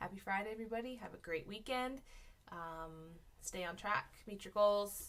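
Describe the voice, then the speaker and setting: She has an unremarkable speaking voice, pitched in the medium range with ordinary variation. The woman talks at a moderate pace, her loudness swinging widely. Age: 30s. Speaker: weight-loss vlogger and teacher. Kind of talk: casual vlog. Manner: rambling with many fillers.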